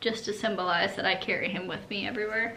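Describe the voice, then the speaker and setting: The delivery is fairly quick, with monotone, flat intonation. Noticeable background noise and audible room echo surround it. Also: woman. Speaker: vlogger, bereaved mother. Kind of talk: casual video walkthrough.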